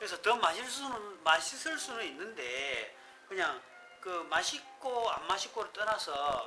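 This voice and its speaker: Music plays in the background. A man speaks at a very slow pace in a raised, projected voice. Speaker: coffee shop owner. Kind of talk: casual unedited talk about coffee. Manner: chatty, joking.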